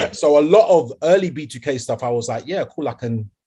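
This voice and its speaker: Speaking at a moderate pace with a London accent, a man uses lively intonation in a fairly high, somewhat breathy voice with a dark, mellow tone. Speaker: R&B singer and podcast co-host. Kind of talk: casual chat. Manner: animated.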